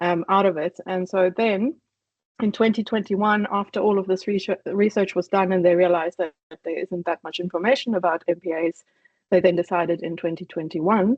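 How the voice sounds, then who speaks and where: With a slight South African accent, a woman speaks at a moderate pace and medium pitch, her pitch varying in an ordinary way. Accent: faint South African. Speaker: conservation initiative coordinator. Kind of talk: online presentation.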